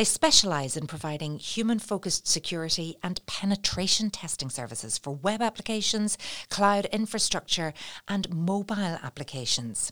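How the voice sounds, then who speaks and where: With a Northern Irish accent, a woman speaks at a medium pitch and a moderate pace. Her intonation is lively on a very clean recording with a silent background. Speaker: podcast host. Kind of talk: interview. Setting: studio.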